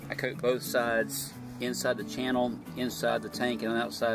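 The man's voice has a dry sound with no echo, and clear music plays in the background. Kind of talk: tutorial. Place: garden. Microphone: phone near.

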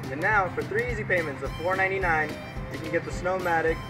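Music plays behind the speaker. He is a man talking at a very fast pace. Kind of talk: mock TV infomercial read.

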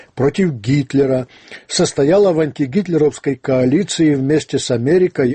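Against a quiet background, a man with a somewhat breathy voice talks at a moderate pace. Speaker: radio host. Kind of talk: radio commentary reading listener letters. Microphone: studio mic.

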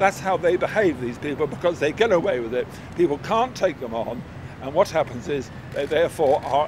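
The speaker talks fairly quickly with lively intonation in a dry sound without echo. Noticeable background noise is present. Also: man. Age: 70s. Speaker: horse racing pundit. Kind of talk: interview answer.

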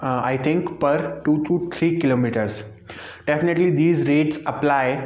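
A man with an Indian accent speaks at a moderate pace in a fairly high pitch, his loudness very even and his pitch varying in an ordinary way, with audible room echo. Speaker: travel vlogger; vlogger. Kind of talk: face-cam vlog monologue; casual informative vlog chat. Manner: halting. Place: home room. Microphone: lapel.

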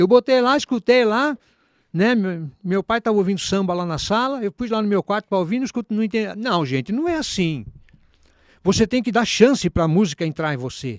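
A man with high pitch speaks in an animated tone with lively intonation. The recording is very clean and silent, with a dry, close sound and no echo. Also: moderate pace. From São Paulo state, Brazil. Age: 60s. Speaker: musician. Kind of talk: casual chat.

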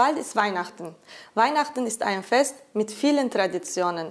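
A woman speaks at a fairly slow pace. The background is quiet. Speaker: TV show host. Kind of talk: cooking chat interview. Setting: studio kitchen. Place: kitchen.

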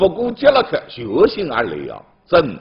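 Against a quiet background, a man with a Zhejiang accent speaks at a fairly slow pace. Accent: Taizhou Wu dialect. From Taizhou, Zhejiang. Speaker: news show host. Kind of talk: local news programme presented in Taizhou dialect. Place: studio.

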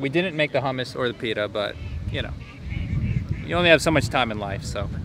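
Very fast male speech with a dry sound, no echo, and noticeable background noise. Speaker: travel vlogger. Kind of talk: casual vlog chat. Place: garden. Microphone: phone near.

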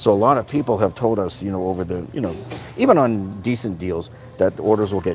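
Light background noise sits behind a man with an ordinary speaking voice. He talks fairly quickly, with a fairly low pitch and ordinary pitch variation. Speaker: tool deals reviewer. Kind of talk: casual livestream chat. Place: shop. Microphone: phone near.

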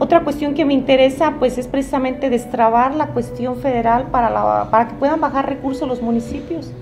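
Faint music plays behind a woman who speaks high-pitched and fairly quickly, with fairly even intonation and hardly any pauses. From Zitácuaro, Michoacán, Mexico; Michoacán. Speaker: political candidate, lawyer; candidate, lawyer. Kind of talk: interview. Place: cafe.

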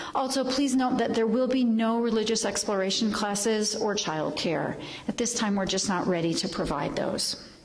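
Keeping very even loudness and ordinary pitch variation, a woman speaks at a moderate pace with hardly any pauses. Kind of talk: church announcements. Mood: warm, informative. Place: church.

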